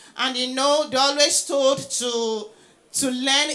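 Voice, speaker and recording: A woman talks at a high pitch with fairly even intonation. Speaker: presenter. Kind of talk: lecture. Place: hall. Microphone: handheld.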